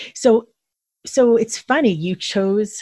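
Somewhat breathy and with very wide pitch swings, a woman speaks in a Philadelphia accent, the sound dry and close with no echo. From Philadelphia, then South Jersey. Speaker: podcast host. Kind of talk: interview.

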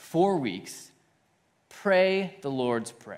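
A man with a high, warm voice talks at a very slow pace, his pitch swinging very widely. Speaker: pastor. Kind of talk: sermon; congregational prayer, spoken aloud to God. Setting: church with congregation. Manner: earnest, warm, unhurried, conversational with filler pauses.

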